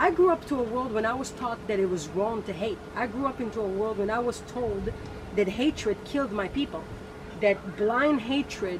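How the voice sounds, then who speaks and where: Noticeable background noise sits behind a woman's fairly high voice. She speaks at a moderate pace with ordinary pitch variation. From Israel. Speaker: guest. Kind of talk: casual chat.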